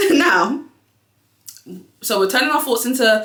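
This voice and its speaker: Audible room echo fills the recording. A woman is the one talking. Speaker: YouTuber and business owner. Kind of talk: casual motivational vlog. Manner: fast.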